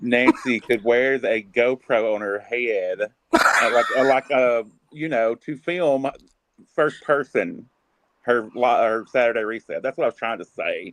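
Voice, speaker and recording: In a Southern US accent, a man speaks in a dry, close sound with no echo. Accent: Southern US drawl. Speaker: live stream chat guest. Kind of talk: casual chat. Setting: video call.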